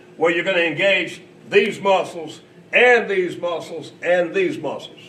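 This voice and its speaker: Fairly even intonation at a fairly slow pace, with noticeable background noise. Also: man, high pitch for a man. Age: 60s. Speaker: company founder demonstrating fitness machine. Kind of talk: coaching demonstration. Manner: instructive, encouraging.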